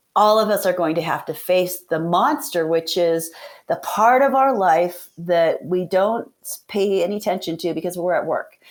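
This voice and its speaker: On a very clean recording with a silent background, a woman with an unremarkable speaking voice talks at a moderate pace, medium pitch, and ordinary pitch variation. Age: 60s. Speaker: veterinarian and practice owner. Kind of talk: podcast interview. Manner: casual, conversational.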